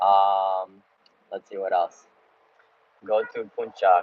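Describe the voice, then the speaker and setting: Here is a man speaking. He talks with an American accent. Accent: sounds American. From United States (Baltimore, Maryland). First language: Russian. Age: 20s. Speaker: travel vlogger. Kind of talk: live Q&A stream. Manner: casual, hesitant with fillers.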